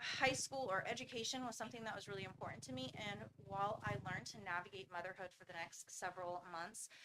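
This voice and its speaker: A woman's very fast, American-accented speech at a medium pitch, bright and sharp in tone, with very wide pitch swings, vocal fry and hardly any pauses. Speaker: founder of a medical training school. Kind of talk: personal testimony in a presentation. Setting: school board meeting.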